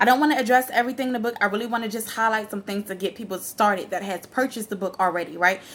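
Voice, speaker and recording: A woman is speaking. Her intonation is lively. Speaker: ministry founder and motivational speaker. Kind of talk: motivational talk. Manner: fast; animated.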